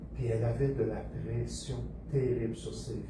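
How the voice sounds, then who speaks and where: A man talks at a moderate speed as audible room echo mixes with noticeable background noise. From Quebec, Montreal. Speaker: pastor. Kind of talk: sermon.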